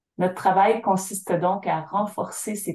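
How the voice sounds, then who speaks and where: Somewhat breathy, with a dark, mellow tone, the voice moves at a fairly slow pace with fairly even intonation. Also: woman. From Syilx Nation, interior British Columbia, Canada. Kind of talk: interview. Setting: remote call from home by the fireplace.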